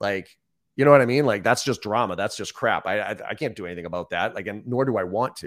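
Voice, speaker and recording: A man's fairly low voice with an American accent at a very fast pace, on a very clean recording with a silent background. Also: ordinary pitch variation. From Boston, US. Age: 40s. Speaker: sales trainer. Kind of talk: interview.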